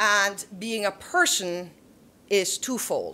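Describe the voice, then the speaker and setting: A woman with a German accent speaks in a bright, sharp tone at a medium pitch with ordinary pitch variation. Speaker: theologian and panelist. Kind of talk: panel discussion. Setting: auditorium with audience. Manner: halting with frequent restarts.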